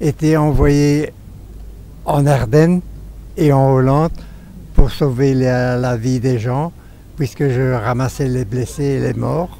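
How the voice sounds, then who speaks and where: A man speaks at a medium pitch with ordinary pitch variation, talking very slowly and leaving long, frequent pauses. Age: 80s+. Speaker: war veteran. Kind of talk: interview testimony. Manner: halting.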